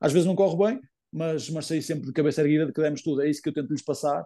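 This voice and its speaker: In a European Portuguese accent, a man talks at a very fast pace with a dark, mellow tone and fairly high pitch. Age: 20s. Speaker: footballer, team captain. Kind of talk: interview. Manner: halting, many fillers and repetitions.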